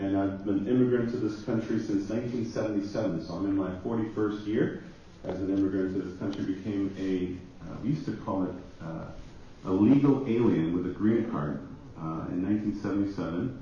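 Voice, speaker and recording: A man talks at a fairly quick pace with a fairly low pitch and ordinary pitch variation. Audible room echo surrounds his voice. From Jamaica, Kingston. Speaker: pastor. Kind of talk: conference panel introduction.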